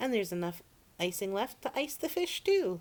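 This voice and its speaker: A put-on character voice with a fairly high pitch. It moves at a moderate pace. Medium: read story. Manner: earnest, folksy.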